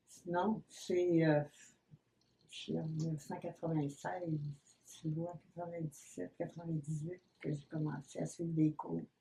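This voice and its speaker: In a Quebec accent, a woman speaks fairly slowly in a very deep, low voice that is somewhat breathy, with a dark, mellow tone and monotone, flat intonation. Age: 80s+. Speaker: painter. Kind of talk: interview. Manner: hesitant.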